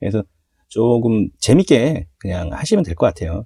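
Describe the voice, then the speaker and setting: This man's dark, mellow voice swings very widely in pitch and shows vocal fry. He talks at a moderate pace, and the sound is dry and close with no echo. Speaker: hobby model builder. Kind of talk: tutorial. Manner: casual, conversational.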